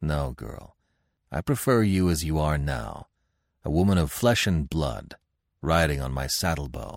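A man's put-on character voice at an extremely low pitch, fairly slow in pace with lively intonation, in a dry, close sound with no echo and a very clean recording with a silent background.

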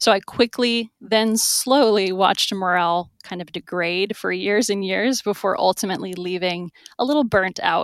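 A woman with an American accent speaks at a moderate pace and medium pitch, with ordinary pitch variation and hardly any pauses. The recording is very clean, dry and close, with no echo and a silent background. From US South. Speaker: investment analyst. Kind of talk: casual interview.

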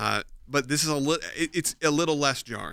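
Vocal fry runs through a man's bright, sharp tone at a medium pitch. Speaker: podcast host. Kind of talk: casual chat. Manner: animated.

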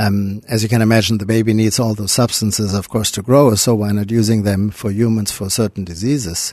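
Speaking at a fairly quick pace with hardly any pauses, a man with a German accent keeps his fairly low voice fairly even over a quiet background. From Germany. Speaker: cardiologist. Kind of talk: interview.

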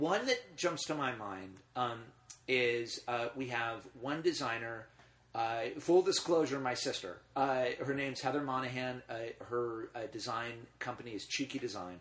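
This man with an American accent speaks at a fairly slow pace with ordinary pitch variation. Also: medium pitch for a man. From US West, Los Angeles. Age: 40s. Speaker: filmmaker and screening series founder. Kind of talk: casual interview.

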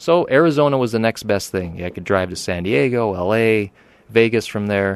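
Here is a man with an American accent and an unremarkable speaking voice. His fairly low pitch moves with lively intonation at a fairly quick pace against a quiet background. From eastern Pennsylvania, Poconos. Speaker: car restoration shop owner. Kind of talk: interview. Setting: studio.

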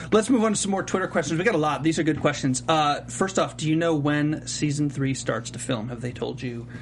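A fairly high-pitched man delivers his words fairly quickly and with lively intonation, while noticeable noise sounds behind him. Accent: American. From US South, Charlotte. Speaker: TV aftershow host. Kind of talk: casual interview chat. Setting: studio.

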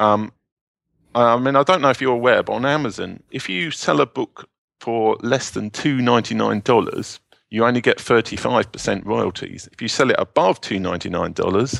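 The voice has a British accent, vocal fry and lively intonation. The sound is dry and close, with no echo. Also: man. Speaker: self-publishing entrepreneur and novelist. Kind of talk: interview.

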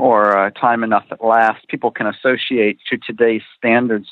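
At a moderate pace, a man of medium pitch speaks in a normal speaking voice. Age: young. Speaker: author and TV historian. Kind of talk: interview answers.

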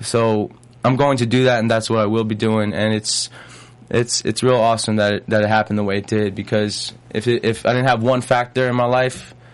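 A man with a New York accent, medium in pitch, fairly quick, and monotone with flat intonation. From Long Island, New York. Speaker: singer and actor. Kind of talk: interview.

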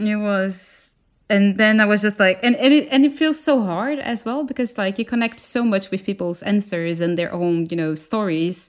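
With a Portuguese accent, a woman talks at a moderate pace with lively intonation and hardly any pauses. The recording is very clean, with a silent background. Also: medium pitch for a woman. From Brazil. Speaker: animator and designer. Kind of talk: casual interview chat.

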